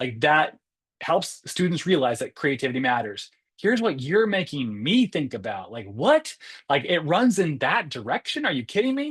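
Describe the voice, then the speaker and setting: Over a quiet background, a man with an American accent speaks in a fairly high pitch with very wide pitch swings. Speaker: math educator. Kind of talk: webinar presentation. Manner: fast; animated.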